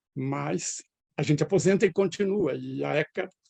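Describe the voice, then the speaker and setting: In a dry, close recording with no echo, a man with a fairly high pitch and a dark, mellow, somewhat breathy tone speaks at a fairly slow pace. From Brazil, northwest São Paulo state (near Andradina). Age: 70s. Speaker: retired professor. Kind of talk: interview.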